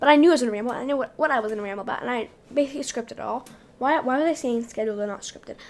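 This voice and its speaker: The speech moves at a very fast pace. Its loudness swings widely. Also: woman, high pitch for a woman, ordinary pitch variation. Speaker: podcast host. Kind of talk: casual monologue.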